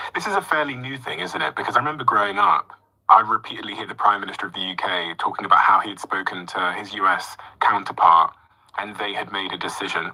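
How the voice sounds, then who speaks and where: Very fast speech with a British accent. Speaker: interviewer. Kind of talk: interview.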